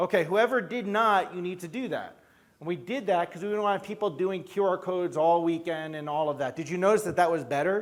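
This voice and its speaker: The speaker has a New York accent and a fairly quick pace. Pitch variation is ordinary. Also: man, high pitch for a man. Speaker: chiropractor and event leader. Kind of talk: conference stage talk.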